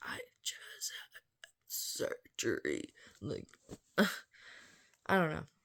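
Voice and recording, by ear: Whispered very slowly, this put-on character voice sounds raspy.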